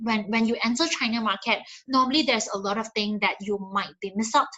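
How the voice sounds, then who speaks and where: A woman talks at a fairly quick pace. Her pitch is fairly high, with ordinary variation. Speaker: digital marketing presenter. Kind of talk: webinar presentation. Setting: online webinar. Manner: fast; halting with many fillers.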